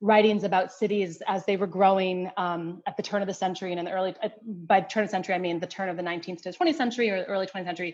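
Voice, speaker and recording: A woman speaks with a Western New York accent and ordinary pitch variation. The background is quiet. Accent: American, Western New York. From US Northeast, Rochester, New York. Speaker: anthropology professor. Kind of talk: interview. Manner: halting, many fillers and restarts.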